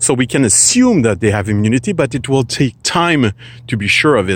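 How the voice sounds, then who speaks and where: Speaking with a Quebec accent, a man has a medium pitch. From Quebec, Canada. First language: French. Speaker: philosophy vlogger. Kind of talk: casual talk to camera. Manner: halting, searching for words.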